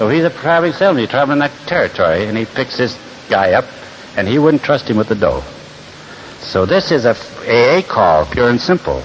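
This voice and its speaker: A man talks at a fairly quick pace. Noticeable noise sits in the background. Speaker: recovery speaker. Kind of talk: speaker talk to a meeting. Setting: stage with audience.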